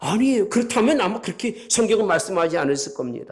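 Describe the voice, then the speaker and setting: A man's voice moves through very wide pitch swings. Room echo is audible. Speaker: pastor. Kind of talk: sermon.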